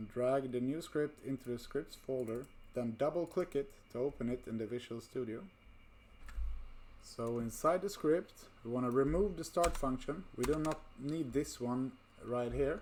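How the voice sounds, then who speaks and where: At a moderate pace, this speaker talks with a non-native accent. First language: not English. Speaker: VR game development tutor. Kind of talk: tutorial. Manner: casual, with fillers.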